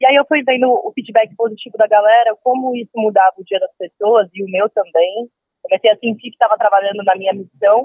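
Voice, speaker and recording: A woman with a normal speaking voice, fairly high pitch, ordinary pitch variation and a fairly quick pace. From São Paulo coast, Brazil. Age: 20s. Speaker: street musician. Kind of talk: interview.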